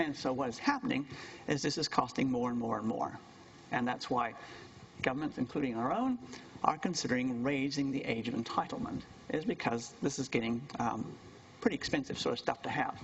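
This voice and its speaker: A man with a New Zealand accent talks fairly quickly at a medium pitch, with ordinary pitch variation. He leaves long, frequent pauses. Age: 60s. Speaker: university lecturer. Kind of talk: lecture.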